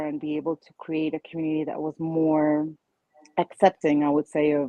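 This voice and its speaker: A woman talks at a moderate pace with a Spanish accent. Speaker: childfree advocate, online community founder. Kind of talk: panel discussion.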